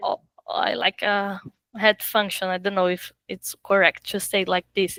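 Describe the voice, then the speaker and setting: A woman with a Portuguese accent at a fairly slow pace, in a dry, close sound with no echo. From Brazil. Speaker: film assistant director. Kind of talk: interview. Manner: halting.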